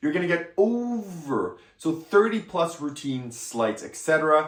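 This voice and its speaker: Over noticeable background noise, a man with a fairly high voice speaks at a fairly slow pace, with big swings in loudness. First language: French. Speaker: magic product reviewer. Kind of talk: product review. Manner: casual, hesitant at times.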